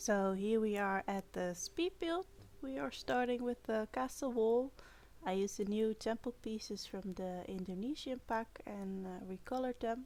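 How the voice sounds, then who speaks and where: This woman speaks with lively intonation at a fairly high pitch, in a non-native accent. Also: moderate pace. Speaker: video game content creator. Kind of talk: gameplay build commentary. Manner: hesitant, many fillers.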